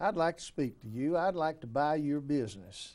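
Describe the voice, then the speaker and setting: A man with an Alabama accent, a dark, mellow tone, ordinary pitch variation and a moderate pace. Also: very clean recording, silent background. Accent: US Southern (Alabama). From Alabama, Elmore County. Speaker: city mayor. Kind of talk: interview. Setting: studio.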